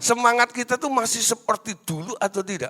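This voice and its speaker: A man talks at a moderate pace in a raised, projected voice. His tone is bright and sharp. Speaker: preacher. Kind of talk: sermon. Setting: stage with audience. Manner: loud; animated.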